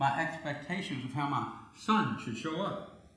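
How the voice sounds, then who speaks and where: Amid noticeable background noise and audible room echo, a man talks at a moderate pace in a fairly high voice with lively intonation. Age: 80s+. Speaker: pastor. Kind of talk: sermon. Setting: church.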